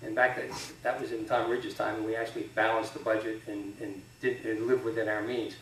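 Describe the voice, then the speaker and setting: With an American accent, the speaker shows ordinary pitch variation. Audible room echo and noticeable background noise are present. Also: man. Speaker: state legislator and candidate. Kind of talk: candidate forum answers. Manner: fast.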